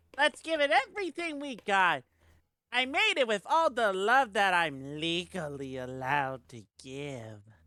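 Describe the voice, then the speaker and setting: Using a put-on character voice at middle pitch, the speaker takes a playful tone with very wide pitch swings at a moderate pace. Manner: cartoonish, playful.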